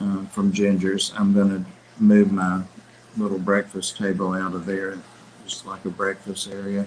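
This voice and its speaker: Mumbling at a moderate pace, a man speaks at a fairly low pitch in a monotone, flat intonation. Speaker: fish hobby livestream host. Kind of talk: casual chat.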